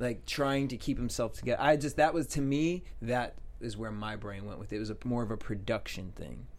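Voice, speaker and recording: Mumbling at a fairly quick pace, a man talks at a medium pitch with ordinary pitch variation. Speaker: TV aftershow host. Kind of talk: casual chat. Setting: studio. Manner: mumbles in regular voice, clearer host voice on air.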